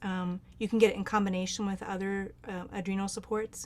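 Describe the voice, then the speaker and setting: A woman with a normal speaking voice at medium pitch talks at a fairly quick pace. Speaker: near-death experiencer and medicine singer. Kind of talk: Q&A advice in online group talk.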